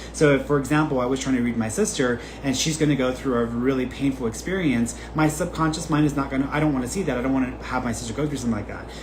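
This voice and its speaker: Over noticeable background noise and audible room echo, a man speaks at a very fast pace with ordinary pitch variation. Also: medium pitch for a man. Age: 20s. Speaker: psychic medium. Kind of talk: live reading Q&A stream. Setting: livestream. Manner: casual, conversational.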